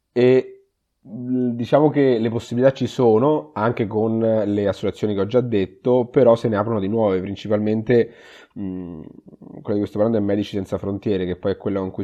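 Speaking at a moderate pace, a man uses a fairly low pitch. His pitch variation is ordinary. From Umbria, Italy (Perugia). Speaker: emergency physician. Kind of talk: interview. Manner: halting, repeats words.

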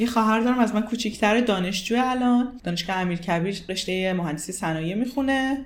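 A woman speaks at a fairly high pitch with ordinary pitch variation. Audible room echo is present. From Iran. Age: 20s. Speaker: psychologist and marketing manager. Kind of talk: interview.

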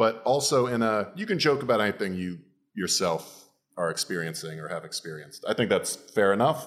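A man with a fairly low pitch, very wide pitch swings and an animated tone, at a fairly quick pace, on a very clean recording with a silent background. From Florida, US. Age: 30s. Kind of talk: casual comedic banter. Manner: joking, animated.

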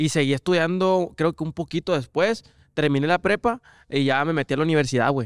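A man speaks fairly quickly in an unremarkable speaking voice, fairly high in pitch with ordinary variation. The sound is dry and close with no echo, on a very clean recording with a silent background. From Mexico, small town. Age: 20s. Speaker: former youth footballer. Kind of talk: casual chat.

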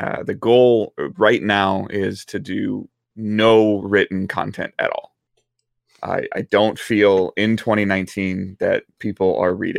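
Recorded with a dry, close sound and no echo, a man speaks with a Midwestern American accent. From US Midwest, Detroit area. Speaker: gaming content creator. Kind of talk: casual chat. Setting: live stream.

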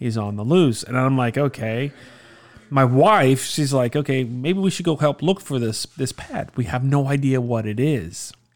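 An ordinary speaking voice from a man with an American accent, medium in pitch, with ordinary pitch variation, at a moderate pace, in a very clean recording with a silent background. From South Florida, Miami area. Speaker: returning podcast guest, father. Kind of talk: casual chat.

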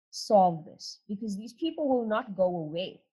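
A woman's somewhat breathy voice. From South Africa. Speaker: attorney. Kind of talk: interview.

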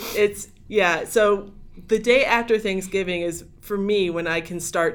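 A woman with a Midwestern American accent and ordinary pitch variation. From US Midwest, Northeast Ohio. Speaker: podcast guest. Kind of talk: casual chat.

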